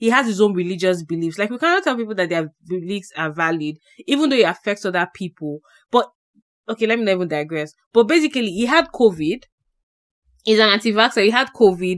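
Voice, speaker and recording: A woman speaks at a very fast pace with lively intonation. Her pitch is medium. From Nigeria. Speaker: podcast co-host. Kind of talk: casual chat.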